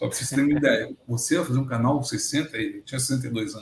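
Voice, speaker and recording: A man's medium-pitched, somewhat breathy voice. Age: 60s. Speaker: agronomist and retired researcher, interviewee. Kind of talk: casual interview chat. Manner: animated.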